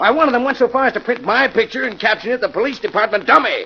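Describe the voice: This man uses a put-on character voice pitched extremely high, with lively intonation and a fast pace. Vocal fry runs through it along with a slightly husky edge.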